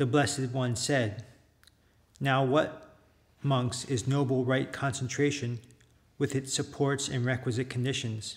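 The voice is somewhat breathy and flat in a monotone, moving at a fairly slow pace with long, frequent pauses. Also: man, medium pitch for a man. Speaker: Buddhist monk. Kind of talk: reading aloud. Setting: monastery.

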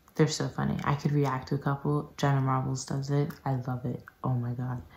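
With a very deep, low pitch, a woman talks at a fairly quick pace in a somewhat breathy voice with monotone, flat intonation. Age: young. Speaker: peer health educator. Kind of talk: casual talk to camera. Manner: whispered. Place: home room. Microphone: phone near.

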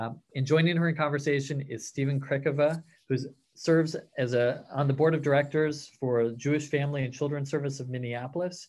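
A man talks at a fairly quick pace in a fairly high pitch. His intonation stays fairly even. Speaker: nonprofit policy executive. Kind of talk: formal introduction. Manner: formal. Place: home room. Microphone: webcam.

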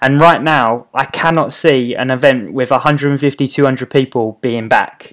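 A man with a British accent and ordinary pitch variation, against a quiet background. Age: 30s. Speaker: YouTuber and property investor. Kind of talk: live stream Q&A. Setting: YouTube live stream. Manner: casual, with many fillers. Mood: reflective, casual.

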